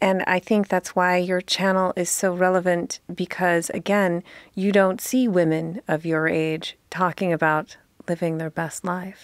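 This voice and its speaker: A woman's unremarkable speaking voice at medium pitch, fairly even in intonation and fairly slow in pace, with a dry, close sound with no echo on a very clean recording with a silent background. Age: 40s. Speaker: podcast host. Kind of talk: casual chat.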